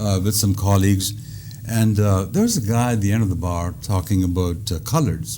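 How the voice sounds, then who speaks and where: A man with an Indian accent and a fairly low pitch talks at a fairly quick pace, with audible room echo and noticeable background noise. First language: Indian language. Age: 70s. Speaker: comedian. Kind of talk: stand-up comedy routine in an interview. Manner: hesitant with frequent uh fillers.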